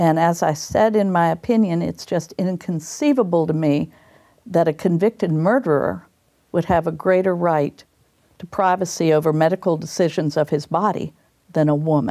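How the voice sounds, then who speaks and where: A woman speaks in an American accent with a fairly low pitch and a dark, mellow tone. Her pitch varies in an ordinary way, her loudness stays very even, and her pace is moderate. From northwestern Pennsylvania. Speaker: retired state supreme court justice. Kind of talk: interview. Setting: studio.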